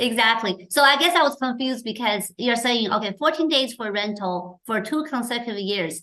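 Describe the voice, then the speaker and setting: A woman talks with hardly any pauses. Her intonation is lively. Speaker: show host. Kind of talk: interview. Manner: fast.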